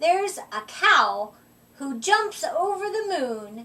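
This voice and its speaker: A woman puts on a character voice pitched extremely high. She speaks very slowly, with very wide swings in pitch. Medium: read story. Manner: sweet, coaxing.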